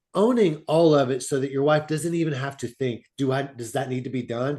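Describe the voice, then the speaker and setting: The background is quiet as a man talks in an ordinary speaking voice at a moderate pace. His pitch is fairly high, with ordinary pitch variation. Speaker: fatherhood mentor. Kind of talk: interview. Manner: casual, conversational.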